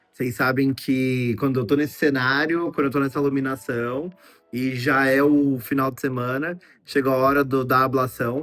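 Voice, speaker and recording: Music plays in the background while a man talks at a moderate pace. His medium-pitched voice stays monotone and flat. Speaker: vlogger and doctoral student. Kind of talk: casual vlog talk to camera. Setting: indoor filming setup with lighting. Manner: chatty, talkative.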